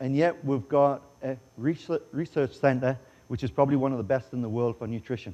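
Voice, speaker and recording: With a Geordie accent, a man talks at medium pitch in a dark, mellow tone, his pitch varying in an ordinary way. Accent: English (Geordie), noticeable. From northeast England, Newcastle upon Tyne. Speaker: chef. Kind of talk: conference presentation and cooking demo. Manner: jokey, casual.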